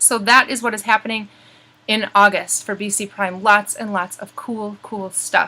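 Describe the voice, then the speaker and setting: This woman's pitch is fairly high. Noticeable background noise runs beneath her voice. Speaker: blogging community host. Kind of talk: monthly update to members. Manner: fast; animated.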